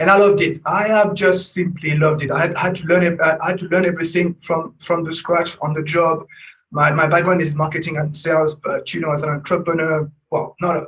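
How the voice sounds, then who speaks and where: Talking at a fairly quick pace in a French accent, a man uses a high pitch and a monotone, flat intonation. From France. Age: 40s. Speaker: business coach. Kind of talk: interview. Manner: halting, many repetitions and fillers.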